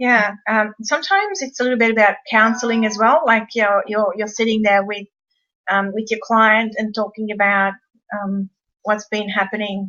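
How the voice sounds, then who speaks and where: Using monotone, flat intonation, a woman with an Australian accent speaks at a moderate pace in a fairly high pitch. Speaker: paranormal investigator co-presenting a webinar. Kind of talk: webinar presentation.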